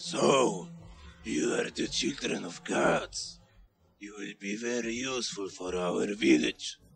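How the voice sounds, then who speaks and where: A raspy man's voice sits at a medium pitch. He speaks at a fairly slow pace. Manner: bossy, ordering.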